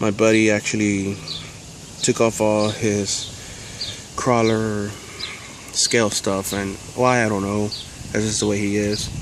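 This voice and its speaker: A man's relaxed tone against noticeable background noise. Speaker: RC crawler hobbyist. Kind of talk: casual talk to camera. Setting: outdoors. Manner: relaxed, rambling.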